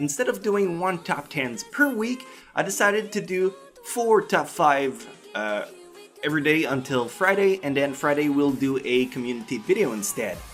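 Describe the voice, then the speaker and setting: Someone with a French Canadian accent speaks over music in the background. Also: moderate pace. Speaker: anime reviewer. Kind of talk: casual review talk to camera.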